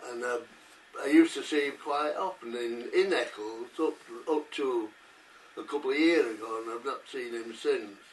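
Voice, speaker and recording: With noticeable background noise behind him, a man with a fairly high pitch and ordinary pitch variation speaks at a moderate pace. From northern England, Salford. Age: 80s+. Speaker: war veteran. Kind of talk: interview, personal recollection. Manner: halting, many hesitations.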